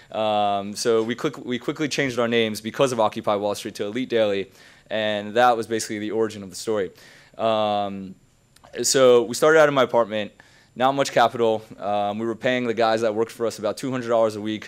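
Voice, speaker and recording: A man talks at a fairly quick pace with a medium pitch and fairly even intonation. The recording is very clean, with a silent background. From Queens, New York. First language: not English. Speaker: entrepreneur, keynote speaker. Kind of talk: keynote talk. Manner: casual, many filler ums.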